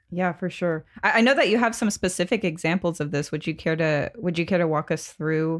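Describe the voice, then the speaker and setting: In a very clean recording with a silent background, a woman with a plain, everyday voice speaks fairly quickly at a fairly low pitch with ordinary pitch variation. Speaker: podcast host. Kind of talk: casual chat.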